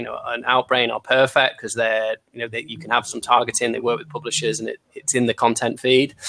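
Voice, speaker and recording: In a Manchester accent, a man talks at a fairly quick pace with a bright, sharp tone, medium pitch and monotone, flat intonation. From Manchester, England. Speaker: marketing agency founder. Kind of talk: panel discussion. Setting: live video call broadcast.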